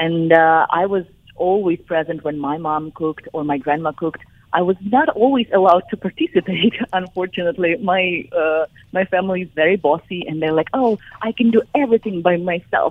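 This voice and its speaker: The speaker has a Ukrainian accent and ordinary pitch variation. The pace is fairly quick. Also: woman, fairly low pitch for a woman. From southern Ukraine. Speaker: chef and cookbook author. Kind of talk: radio interview.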